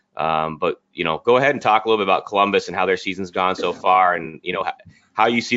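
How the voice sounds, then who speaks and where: The speaker has an ordinary speaking voice, moving at a fairly quick pace with ordinary pitch variation. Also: man. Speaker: podcast co-host. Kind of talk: casual banter.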